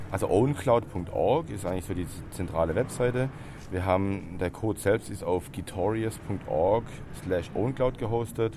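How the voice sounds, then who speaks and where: This man has an unremarkable speaking voice, talking at a fairly slow pace with a fairly low pitch and ordinary pitch variation. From Stuttgart, Germany. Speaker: open source software founder. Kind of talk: interview. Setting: trade fair.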